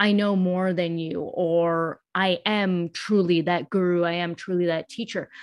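A woman speaks with medium pitch and fairly even intonation. It is a plain, everyday voice. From US. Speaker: pain-free movement specialist and social justice consultant. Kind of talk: casual interview conversation.

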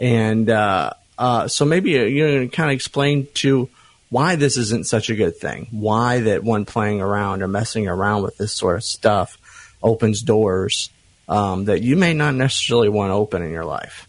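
In a normal speaking voice, a man talks at a moderate pace and medium pitch with lively intonation. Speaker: ministry friend, co-host guest. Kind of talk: casual conversation.

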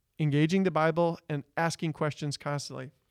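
Here is a man with an unremarkable speaking voice, fairly high in pitch, at a moderate pace. The recording is very clean with a silent background, and the sound is dry and close with no echo. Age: 30s. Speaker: Bible teacher. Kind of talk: casual chat.

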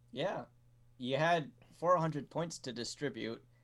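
A man with a normal speaking voice, a fairly slow pace and ordinary pitch variation, on a very clean recording with a silent background. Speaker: tabletop RPG player. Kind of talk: tabletop RPG session, casual banter.

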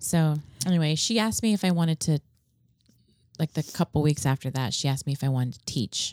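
Though her pace is very fast, a woman with a very deep, low pitch leaves long, frequent pauses, keeping very even loudness and lively intonation in a dry, close sound with no echo. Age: 40s. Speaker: fitness class instructor. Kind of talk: casual chat, interview. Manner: warm, animated.

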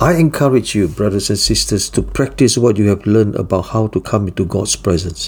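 At a moderate pace, a man with a fairly low, somewhat breathy voice speaks in a solemn tone with ordinary pitch variation. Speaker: devotional teacher. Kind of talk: fervent prayer, led aloud as a devotional prayer. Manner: solemn, earnest and reverent, humble tone; formal, steady and heartfelt.

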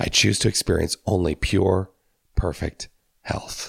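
A man speaks at a fairly slow pace in a very deep, low voice with vocal fry, the sound dry and close with no echo. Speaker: minister. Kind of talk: spiritual talk.

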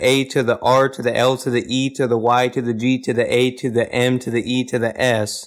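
A man speaks in a monotone, flat way with an American accent. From Kansas. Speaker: podcast co-host. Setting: remote call.

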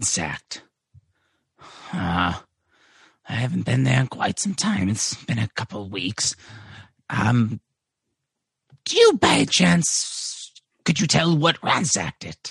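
A man's raspy, put-on character voice at medium pitch, fairly slow, with long, frequent pauses and a dry, close sound with no echo. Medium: actual play. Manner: hesitant, halting.

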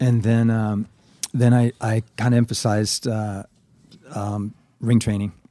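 A man with a dark, mellow tone and medium pitch speaks in a monotone, flat line at a fairly slow pace, with long, frequent pauses, in a dry, close sound with no echo. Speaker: martial arts instructor. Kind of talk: casual interview chat.

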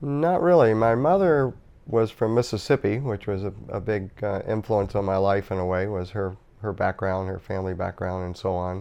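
In an ordinary speaking voice, a man talks at a fairly low pitch. His pace is moderate and his pitch varies in an ordinary way. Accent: American. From US South, Norfolk, Virginia. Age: 60s. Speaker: author. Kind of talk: interview. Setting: studio.

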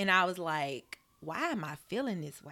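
A woman speaks with an Alabama accent at a fairly low pitch, on a very clean recording with a silent background. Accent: Southern US (Alabama). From US South, Birmingham, Alabama. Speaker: nurse practitioner and wellness entrepreneur. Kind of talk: casual interview, faith testimony.

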